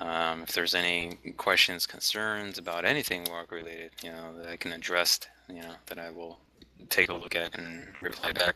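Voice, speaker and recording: Over noticeable background noise, a man with a very deep, low pitch speaks at a moderate pace in a monotone, flat intonation, with big swings in loudness. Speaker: game company staff member. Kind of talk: interview over voice chat. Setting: voice chat server.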